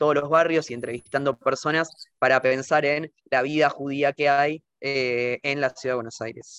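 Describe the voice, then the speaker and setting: Heard in a dry, close sound with no echo, a man speaks at a fairly slow pace with fairly even intonation. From Argentina. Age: 20s. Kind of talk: interview. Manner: halting, many fillers.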